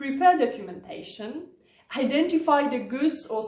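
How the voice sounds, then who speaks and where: Audible room echo surrounds a woman with a Polish accent who speaks at a fairly slow pace in a high pitch. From Poland. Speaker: lawyer. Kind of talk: tutorial. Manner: formal.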